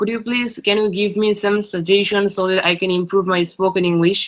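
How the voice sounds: A man speaks at a high pitch with a fairly bright tone. His pitch moves little, and his pace is moderate.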